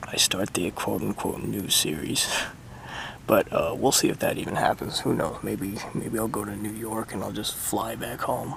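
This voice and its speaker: Background noise can be clearly heard here. Over it, a man talks at a moderate pace. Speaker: cycle touring vlogger. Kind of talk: casual vlog monologue. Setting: outdoors, camping in tent. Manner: hesitant, many fillers.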